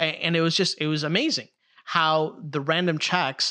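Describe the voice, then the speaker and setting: A man talks with a Chicago accent. His tone is bright and sharp. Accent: Chicago American. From Chicago, US. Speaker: theologian. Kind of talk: casual chat. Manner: animated.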